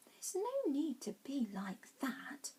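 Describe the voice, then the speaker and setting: A female-sounding voice puts on a high-pitched character voice and speaks at a fairly slow pace. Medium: read story. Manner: gentle, polite.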